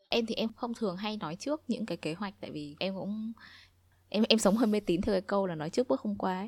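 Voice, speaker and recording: On a very clean recording with a silent background, a woman talks very fast at a medium pitch with ordinary pitch variation. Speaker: podcast co-host. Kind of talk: casual chat.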